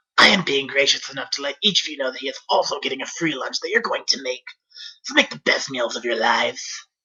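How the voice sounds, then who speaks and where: A man does a put-on character voice, fairly high in pitch, at a very fast pace. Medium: read story. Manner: gruff, sardonic.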